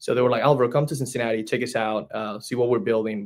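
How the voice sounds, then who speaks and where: Speaking at a medium pitch, a man talks in a Spanish accent. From Spain. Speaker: franchise business development director. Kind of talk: podcast interview.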